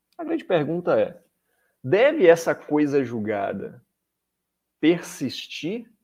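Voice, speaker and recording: A man speaks against a quiet background. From Salvador, Bahia, Brazil. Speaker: law professor and government attorney. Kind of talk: interview on legal topics.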